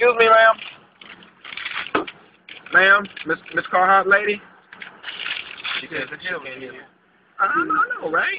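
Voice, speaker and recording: Over noticeable background noise, someone with a strong Louisiana accent speaks at a very slow pace, leaving long, frequent pauses. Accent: thick Louisiana. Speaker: police officer. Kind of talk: casual talk to camera. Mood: playful, joking. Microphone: phone near.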